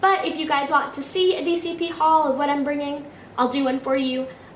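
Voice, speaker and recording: A high-pitched woman at a fairly quick pace, with noticeable background noise and audible room echo. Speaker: vlogger. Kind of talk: casual vlog.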